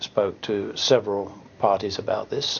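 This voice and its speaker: A man talks with an Australian accent. He goes at a fairly slow pace. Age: 60s. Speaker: retiring financial planner. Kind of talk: testimonial. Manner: hesitant, many fillers.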